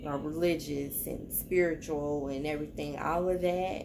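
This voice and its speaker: Over noticeable background noise, a woman with a very deep, low pitch talks at a moderate pace in a monotone, flat intonation. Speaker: tarot reader vlogger. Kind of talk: casual vlog chat. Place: home room. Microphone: phone near.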